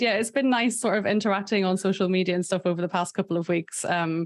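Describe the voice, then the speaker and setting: With a Northern Irish accent, a woman speaks very fast at a medium pitch with ordinary pitch variation against a quiet background. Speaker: podcast host. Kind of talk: casual chat.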